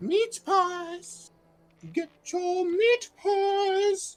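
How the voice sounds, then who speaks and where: A put-on character voice, female-sounding and pitched extremely high, plays over music in the background. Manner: calling out a street cry.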